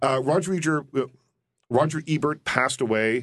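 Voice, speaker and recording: A man uses an ordinary speaking voice, with lively intonation at a moderate pace. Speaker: movie critic and radio host. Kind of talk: radio interview. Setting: studio.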